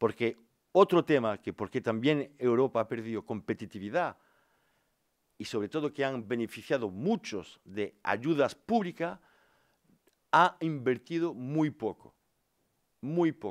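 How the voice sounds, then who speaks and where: With a French accent and lively intonation, the speaker goes at a fairly slow pace with long, frequent pauses against a quiet background. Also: man, medium pitch for a man. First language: French (speaking Spanish). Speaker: politician, former steelworker; politician. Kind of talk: press conference. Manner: halting. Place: meeting room. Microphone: podium.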